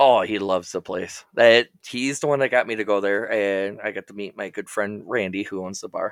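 A man with a normal speaking voice and a fairly low pitch, at a moderate pace with hardly any pauses and fairly even intonation, dry and close with no echo, in a very clean recording with a silent background. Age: 30s. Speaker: podcast co-host. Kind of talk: casual chat.

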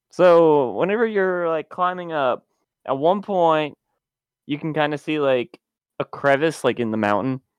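With a plain, everyday voice, a man speaks at a fairly high pitch and a fairly slow pace, his intonation lively. The sound is dry and close with no echo, and the background is quiet. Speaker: game club panelist. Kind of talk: casual chat.

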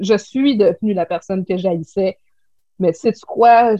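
A woman speaks in a Quebec accent at a fairly high pitch. She goes at a very slow pace, and the sound is dry and close with no echo. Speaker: clothing shop owner. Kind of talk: casual interview.

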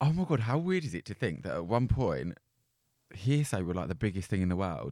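A man's dark, mellow voice with an Essex accent, very wide pitch swings and a fairly quick pace. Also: fairly low pitch for a man. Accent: Essex-sounding English. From South London. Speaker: podcast co-host. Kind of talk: casual chat. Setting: studio.

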